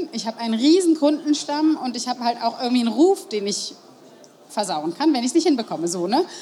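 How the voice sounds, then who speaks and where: Amid noticeable background noise, a woman with a high pitch talks at a fairly quick pace with lively intonation. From Germany, Marburg (Hesse). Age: 30s. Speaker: pastry shop owner. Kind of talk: interview. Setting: stage at a trade fair.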